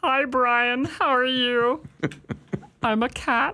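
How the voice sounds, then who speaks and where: A female-sounding voice speaks at a high pitch in a put-on character voice. The pace is very slow. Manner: silly, playful.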